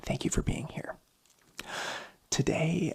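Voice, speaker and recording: Here a man speaks in a whisper. Behind him is noticeable background noise. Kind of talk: ASMR ramble, personal story. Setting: home studio mic. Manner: whispered.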